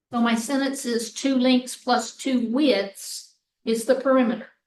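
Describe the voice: A woman speaks at a fairly slow pace with a fairly high pitch. Her tone is slightly mellow and her intonation fairly even.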